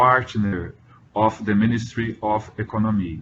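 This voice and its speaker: A man's fairly even intonation with a Portuguese accent. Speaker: ecolabel program representative. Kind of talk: webinar presentation. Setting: online webinar. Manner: halting.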